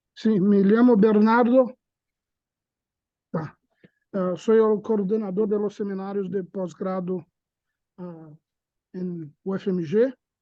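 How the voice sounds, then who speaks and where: A man with a Portuguese accent speaks very slowly at a high pitch, his tone dark and mellow, his intonation fairly even, with long, frequent pauses. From Brazil. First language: Portuguese (speaking Spanish). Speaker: seminar coordinator, academic moderator. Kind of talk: casual chat; seminar introduction. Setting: video call with auditorium. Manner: halting.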